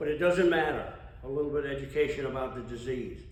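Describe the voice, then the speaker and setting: Audible room echo and noticeable background noise surround a man speaking at a very fast pace. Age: 80s+. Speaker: AA speaker, recovering alcoholic. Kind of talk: testimony. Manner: conversational.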